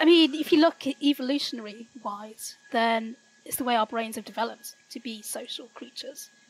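High-pitched female voice with big swings in loudness. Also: ordinary pitch variation, moderate pace. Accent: Yorkshire. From Yorkshire, northern England, rural village. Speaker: teacher and political activist. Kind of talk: casual interview chat. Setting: remote call from the UK.

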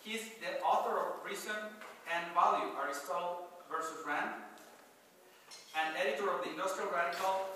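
A man speaks at a fairly quick pace in a high voice, his intonation fairly even. Strong room echo surrounds him, with light background noise. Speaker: event host introducing the speaker. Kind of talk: speaker introduction. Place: hall.

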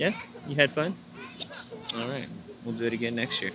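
A man's voice, dry with no echo, against crowd noise in the background. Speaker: family vlogger. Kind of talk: casual vlog chat.

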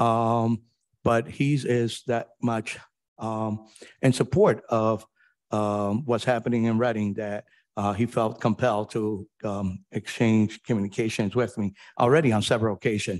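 Fairly slow speech with fairly even intonation against a quiet background. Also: man, medium pitch for a man. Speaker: city mayor. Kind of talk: administrative report. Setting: council chamber. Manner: formal. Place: hall.

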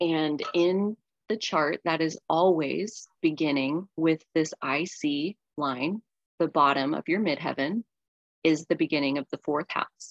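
A woman with a very deep, low pitch speaks at a very slow pace with ordinary pitch variation, the sound dry with no echo and the background quiet. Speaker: shadow work and astrology facilitator; astrology facilitator. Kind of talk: group workshop session. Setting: video call. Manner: animated. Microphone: video call.

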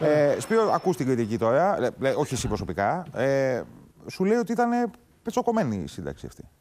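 Moderately paced, a man speaks at a fairly high pitch. His pitch swings very widely. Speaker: TV morning show co-host. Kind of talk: news talk show hosting. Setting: TV studio. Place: studio. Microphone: lapel.

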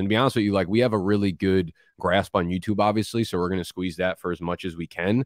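Speaking very fast, a man with a very deep, low voice talks in an American accent with fairly even intonation. The sound is dry with no echo, and the background is quiet. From New Jersey. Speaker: fantasy football content creator. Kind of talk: casual chat. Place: home room. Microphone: studio mic.

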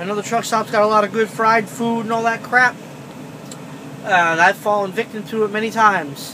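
A man speaks in a raised, projected voice at a moderate pace over noticeable background noise. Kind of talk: casual vlog chat. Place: car. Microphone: phone near.

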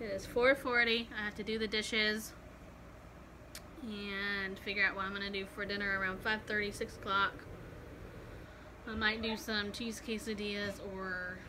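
Over noticeable background noise, a woman speaks in a monotone, flat intonation at a fairly slow pace with long, frequent pauses. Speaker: expectant mother vlogger. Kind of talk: casual vlog chat. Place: home room. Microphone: phone near.

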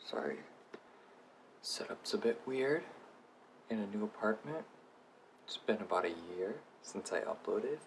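A man talks at a moderate pace. Light background noise can be heard. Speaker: beauty vlogger. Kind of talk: casual product review to camera. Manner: whispered. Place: home room. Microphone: phone near.

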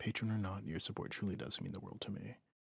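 A somewhat breathy man's voice, fairly low in pitch and very fast in pace. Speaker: ASMR roleplay performer. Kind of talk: asmr roleplay, scripted. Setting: close-mic ASMR recording.

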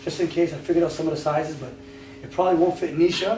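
Talking at a very fast pace, a man with a fairly high pitch is heard over light background noise and audible room echo. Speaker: game show host. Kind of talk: game show hosting. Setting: studio. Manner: animated. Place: home room.

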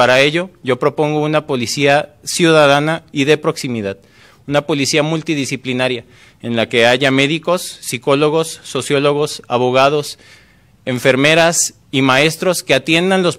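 Against a quiet background, the speech moves at a fairly slow pace. Pitch variation is ordinary. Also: man. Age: 30s. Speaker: mayoral candidate; candidate. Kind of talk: political debate. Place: studio. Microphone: podium.

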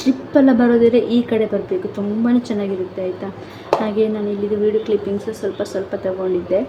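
A woman at a medium pitch with fairly even intonation, over noticeable background noise. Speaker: vlogger. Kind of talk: casual vlog talk.

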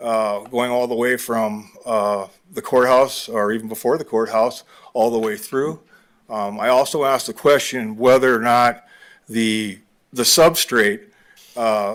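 Speaking fairly slowly, a man keeps a medium pitch and fairly even intonation. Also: very clean recording, silent background. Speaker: member of the public giving comment. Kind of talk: public comment. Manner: halting, many fillers.

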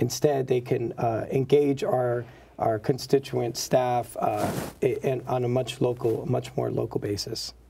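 Somewhat breathy and dark, mellow in tone, a man speaks at medium pitch with fairly even intonation and a fairly slow pace. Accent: American. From South Bronx, New York. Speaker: state senator. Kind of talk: interview. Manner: formal, measured, with fillers.

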